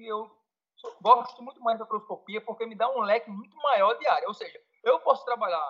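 A man with a high pitch uses a raised, projected voice. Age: 40s. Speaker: federal police fingerprint examiner. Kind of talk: casual interview. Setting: Skype call. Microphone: Skype connection, may drop out.

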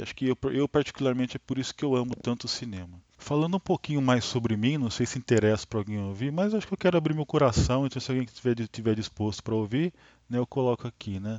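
At a very fast pace, a man speaks with lively intonation at a medium pitch. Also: hardly any pauses. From Brazil, Taubaté, São Paulo state. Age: 40s. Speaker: podcast host, film enthusiast. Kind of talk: casual monologue. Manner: spontaneous, hesitant with many fillers.

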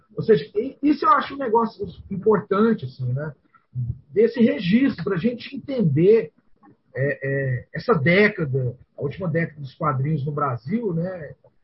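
A man with a high voice talks at a medium speed, his pitch swinging very widely up and down. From Goiânia, Brazil. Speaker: podcast co-host. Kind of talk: casual chat.

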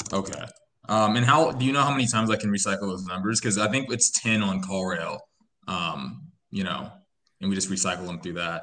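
Fairly low male voice at a fairly quick pace, with ordinary pitch variation. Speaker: real estate wholesaler calling in. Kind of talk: casual call-in Q&A. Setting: video call. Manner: halting, many fillers.

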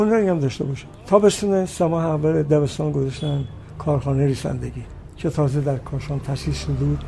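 A man talks at a fairly quick pace with a fairly high pitch and ordinary pitch variation. Noticeable background noise runs underneath. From Iran, Kashan. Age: 90s. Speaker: singer and composer. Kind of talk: interview.

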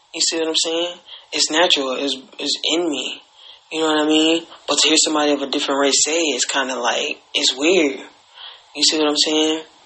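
Over noticeable background noise, a man with a fairly high pitch talks fairly quickly in a flat, monotone way. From Alabama, US South. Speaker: podcast host. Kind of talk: casual monologue. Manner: hesitant, many fillers.

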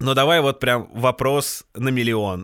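A man with a normal speaking voice talks at a fairly slow pace, medium pitch and ordinary pitch variation. The sound is dry and close with no echo, on a very clean recording with a silent background. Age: 30s. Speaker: podcast host. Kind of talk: casual chat.

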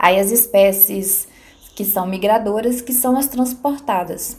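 The speech moves at a fairly slow pace with ordinary pitch variation. Background noise is noticeable. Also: woman. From Minas Gerais, Brazil (rural Palma). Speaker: biologist. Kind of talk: interview. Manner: halting, many repeated words.

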